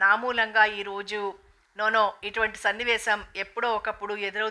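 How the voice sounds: It is a natural reading voice. Nothing more is noted.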